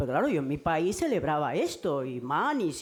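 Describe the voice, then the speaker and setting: Lively intonation in a woman's very deep, low-pitched voice. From Caribbean. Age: 60s. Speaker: domestic workers' rights activist. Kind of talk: panel talk at feminist event. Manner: halting, with many repetitions.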